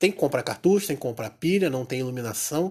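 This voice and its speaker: A man speaks at a very fast pace. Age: 30s. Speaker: podcaster. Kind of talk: solo reflective monologue. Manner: hesitant, with filler sounds.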